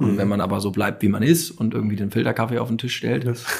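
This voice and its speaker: Somewhat breathy, a man speaks at a fairly low pitch with ordinary variation. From Hamburg, northern Germany. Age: 30s. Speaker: startup founder and CEO. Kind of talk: interview. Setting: company showroom.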